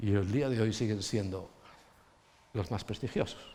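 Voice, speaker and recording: There is audible room echo as a man speaks with vocal fry. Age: 60s. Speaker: pastor. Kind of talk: sermon. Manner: animated.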